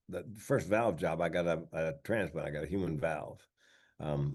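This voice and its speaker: The background is quiet. A man talks at a moderate pace in a very deep, low pitch. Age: 60s. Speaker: comedian and speaker. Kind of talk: interview. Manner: conversational with repeated false starts.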